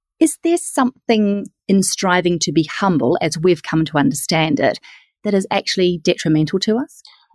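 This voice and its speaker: With a New Zealand accent, a woman speaks at a moderate pace in a medium pitch, her lively intonation captured in a dry, close sound with no echo. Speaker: podcast host. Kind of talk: interview.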